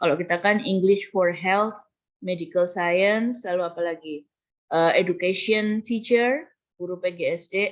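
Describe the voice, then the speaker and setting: Speaking fairly slowly, a woman keeps a medium pitch that varies in an ordinary way. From Java, Indonesia. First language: Javanese (speaking Indonesian). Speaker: university lecturer. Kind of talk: lecture. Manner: code-switching Indonesian and English.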